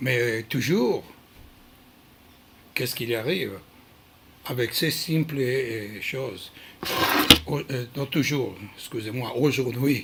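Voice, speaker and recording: Speaking very slowly with long, frequent pauses, a man with a non-native accent uses a medium pitch and ordinary pitch variation. Noticeable background noise can be heard. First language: not French (speaking French). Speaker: krav maga instructor. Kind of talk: prepared talk on training philosophy. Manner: halting, many hesitations.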